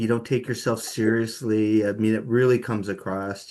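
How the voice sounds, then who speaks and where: At a moderate pace, a man talks in a normal speaking voice. His pitch sits in the medium range. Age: 60s. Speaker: music journalist. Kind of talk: interview.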